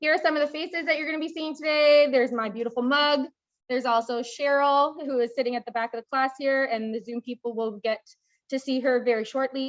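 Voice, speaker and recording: Talking at a very fast pace, a woman keeps her high-pitched voice to fairly even intonation. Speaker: agricultural crop specialist. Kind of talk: training workshop lecture. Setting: classroom with live Zoom audience.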